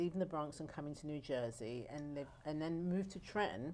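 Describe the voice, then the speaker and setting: A woman with an English accent speaks at a very fast pace. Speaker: nonprofit founder. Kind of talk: interview.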